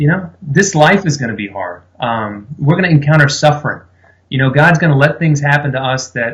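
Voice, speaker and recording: Somewhat breathy, a man with an American accent speaks at a fairly quick pace, his fairly high pitch showing ordinary variation. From South Louisiana. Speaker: pastor, men's ministry leader. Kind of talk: interview answer.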